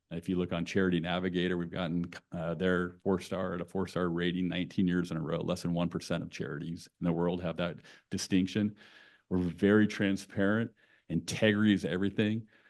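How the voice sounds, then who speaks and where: At a fairly quick pace, a man with a West Coast accent talks in a very deep, low pitch with monotone, flat intonation. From California (Santa Cruz). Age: 50s. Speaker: nonprofit executive. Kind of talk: conversational talk to an audience.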